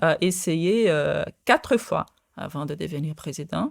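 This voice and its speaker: A woman with a Portuguese accent speaks at a fairly slow pace and fairly low pitch, with ordinary pitch variation. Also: very clean recording, silent background. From Brazil. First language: Portuguese (speaking French). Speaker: quantum physicist. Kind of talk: interview. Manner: halting, many fillers.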